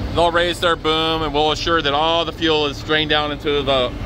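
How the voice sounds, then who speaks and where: A man at a moderate pace with monotone, flat intonation, a dry sound with no echo and noticeable background noise. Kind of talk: casual vlog chat. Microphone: phone near.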